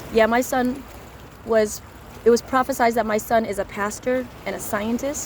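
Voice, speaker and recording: A woman's fairly high voice in a monotone, flat intonation. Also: moderate pace. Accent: American. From US Midwest, Chicago suburbs. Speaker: street preacher. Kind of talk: personal testimony.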